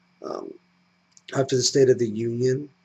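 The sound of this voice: A man speaks at a moderate pace in a medium pitch, his dark, mellow tone carrying a slightly husky edge over fairly even intonation.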